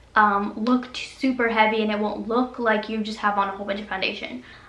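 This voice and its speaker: With noticeable background noise and audible room echo, a woman talks in a fairly high pitch. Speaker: beauty youtuber. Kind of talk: product review. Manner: fast.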